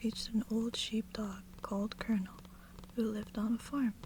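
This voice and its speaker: A soft-spoken whisper at a moderate pace over noticeable background noise. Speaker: ASMR reader. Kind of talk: sleep story. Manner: whispered, soft-spoken.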